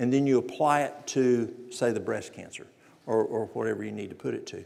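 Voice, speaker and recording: A man with a Southern US accent talks at a fairly quick pace, with audible room echo around him. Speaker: natural remedies presenter. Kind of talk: lecture.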